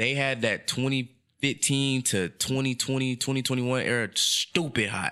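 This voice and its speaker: In an American accent, a man talks with a bright, sharp tone at medium pitch, on a very clean recording with a silent background. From San Francisco Bay Area (Richmond). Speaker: photographer and videographer. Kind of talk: casual chat.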